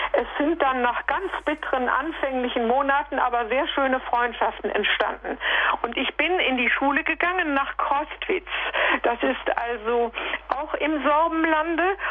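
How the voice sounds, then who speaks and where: A high-pitched woman talks at a fairly slow pace with ordinary pitch variation and very even loudness. Noticeable background noise sits behind her. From Sudetenland, then Sorbian Lusatia. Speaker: radio listener caller. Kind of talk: call-in testimony. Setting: phone call.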